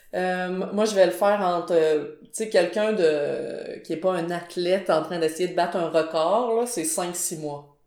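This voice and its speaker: Against noticeable background noise, a woman talks very slowly in a fairly low pitch with fairly even intonation and hardly any pauses. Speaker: graphic designer and illustrator. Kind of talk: podcast interview.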